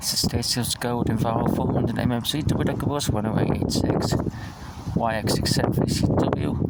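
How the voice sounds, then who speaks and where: Soft-spoken and fairly quick, a man talks with fairly even intonation, with audible room echo and noticeable background noise. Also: medium pitch for a man. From northwest England, Ellesmere Port. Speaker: bus enthusiast vlogger. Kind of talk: casual vlog narration. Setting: outdoors at bus station. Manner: soft-spoken, talking quietly; halting, many fillers.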